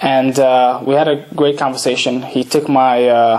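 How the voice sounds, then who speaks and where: Over noticeable background noise, a man speaks at a medium pitch in a monotone, flat intonation. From Odessa, Ukraine; raised in Brooklyn, New York from age nine. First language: Russian. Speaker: boxer. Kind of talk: talk to an audience. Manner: halting, many fillers and restarts.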